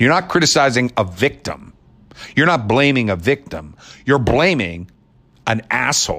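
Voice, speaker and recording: A man with an American accent speaks at a medium pitch and a moderate pace, his bright, sharp, animated tone marked by vocal fry and very wide pitch swings. His loudness stays very even, he leaves long, frequent pauses, and the recording is very clean with a silent background. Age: 50s. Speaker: podcast host. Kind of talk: opinion monologue.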